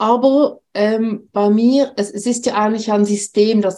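A woman with a dark, mellow tone speaks very slowly. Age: 50s. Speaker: nurse and author. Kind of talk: personal testimony interview.

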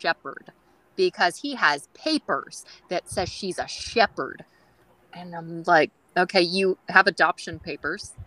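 A woman with a Californian accent speaks at a fairly low pitch with ordinary pitch variation. The sound is dry and close, with no echo. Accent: California. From San Francisco Bay Area, California. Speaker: dog groomer. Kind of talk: casual interview chat. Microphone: very quiet audio.

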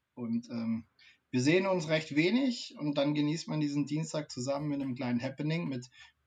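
This man has a plain, everyday voice with a fairly high pitch. He speaks at a moderate pace with ordinary pitch variation. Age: 30s. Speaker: streaming show co-host. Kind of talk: casual chat.

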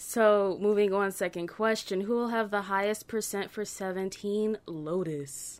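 A woman in a normal speaking voice, at medium pitch, talks at a fairly slow pace with fairly even intonation and hardly any pauses. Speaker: podcast co-host. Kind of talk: casual chat.

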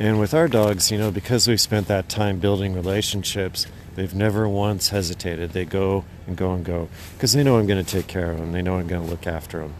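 A man with an American accent has a very deep, low pitch and ordinary pitch variation. He moves at a fairly quick pace. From Idaho. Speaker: dog musher and tour guide. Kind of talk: interview.

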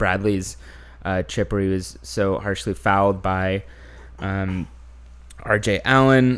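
With an American accent, a man talks at a fairly slow pace and fairly low pitch in an ordinary speaking voice. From Houston, Texas. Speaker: podcast host. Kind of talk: casual chat.

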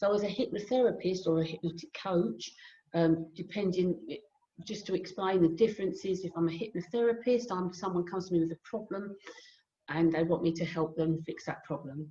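Speaking with a southern English accent, a woman has a fairly low pitch and a dark, mellow, somewhat breathy tone. Her pace is fairly quick, with ordinary pitch variation. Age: 60s. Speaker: hypnotherapist and life coach. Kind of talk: casual interview.

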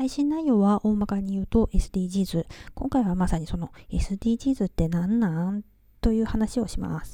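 A woman's dark, mellow, somewhat breathy voice at a fairly slow pace, very cleanly recorded against a silent background. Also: medium pitch for a woman, lively intonation. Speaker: podcast host. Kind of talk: casual monologue.

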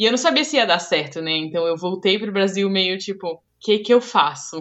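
A woman with a Brazilian accent. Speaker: podcast host, front-end developer. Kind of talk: casual chat.

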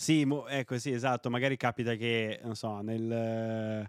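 The sound is dry and close, with no echo. Delivery comes at a fairly slow pace. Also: man. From Piedmont, Italy. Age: 30s. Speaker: online video creator, office worker in food sector. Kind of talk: casual interview chat. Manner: jokey, hesitant, filler-heavy.

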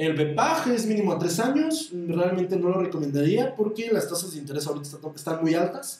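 The speaker has a Mexican accent and lively intonation at a moderate pace. Audible room echo is present. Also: man. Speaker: stockbroker, finance podcaster. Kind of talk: solo podcast monologue on investing. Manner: occasionally stumbling over words.

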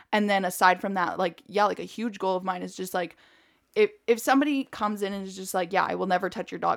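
At a very fast pace, a woman with vocal fry talks at medium pitch with ordinary pitch variation, in a very clean recording with a silent background. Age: 20s. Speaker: dog trainer podcast co-host. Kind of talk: casual chat. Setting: studio in a dog kennel.

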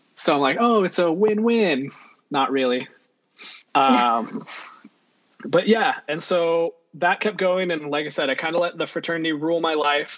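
With an American accent, a man speaks at a moderate pace in a high-pitched voice with lively intonation. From California, Central Valley and Monterey Bay. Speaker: podcast guest, friend of the host. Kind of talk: casual chat.

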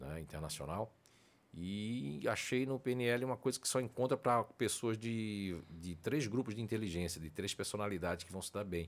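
A man speaks with a plain, everyday voice, fairly low in pitch, at a moderate pace with lively intonation. His loudness swings widely, and the recording is very clean with a silent background. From Northeast Brazil. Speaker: personality researcher and coach, former radio host. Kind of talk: podcast interview. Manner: talkative.

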